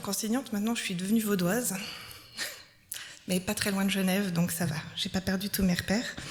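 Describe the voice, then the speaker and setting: A woman speaks at a fairly quick pace with ordinary pitch variation over noticeable background noise. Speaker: preacher. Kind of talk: sermon.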